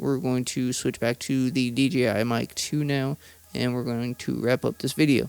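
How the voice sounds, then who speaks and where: A man is speaking. He goes at a moderate pace. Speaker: tech reviewer. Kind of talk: product review. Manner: casual, filler-heavy.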